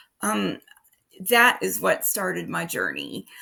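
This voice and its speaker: The recording is very clean, the background silent. A woman talks with an American accent. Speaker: holistic health practitioner. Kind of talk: personal story video. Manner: slow, halting with many fillers.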